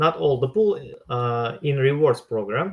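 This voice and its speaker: The man's speech carries a non-native accent. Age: 30s. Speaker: crypto workshop host. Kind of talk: online workshop tutorial. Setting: live online stream. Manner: halting, many hesitations.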